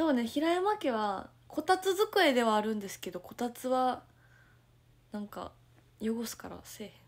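In a Kansai accent, a woman speaks high with an animated tone and very wide pitch swings. Her loudness swings a lot, and she takes long, frequent pauses. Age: 20s. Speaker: idol livestreamer. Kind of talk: casual livestream chat reading viewer comments. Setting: at home, morning livestream. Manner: animated, frequent laughter. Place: home room. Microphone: phone near.

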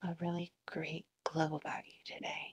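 Whispering at a fairly slow pace, a woman uses a soothing, gentle tone. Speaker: ASMR roleplay student therapist. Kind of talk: ASMR roleplay, soft whispered therapy session. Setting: video, roleplay session with listener as the patient. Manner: soft-spoken, soothing, gentle and reassuring, with repeated praise. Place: home room.

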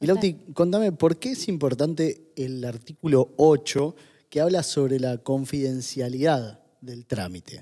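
A man speaks at a fairly slow pace in a dark, mellow tone, his pitch fairly high and his intonation lively. His loudness swings widely against a quiet background. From Argentina. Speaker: podcast co-host. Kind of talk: casual chat. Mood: warm, affectionate. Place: studio. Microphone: studio mic.

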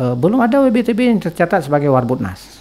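Very wide pitch swings mark this man's speech. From Aceh, Indonesia. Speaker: anthropologist, university lecturer; university lecturer. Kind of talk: interview, expert commentary. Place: studio. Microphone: studio mic.

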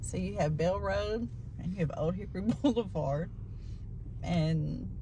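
A woman speaks at a fairly low pitch with vocal fry, and audible room echo surrounds her.

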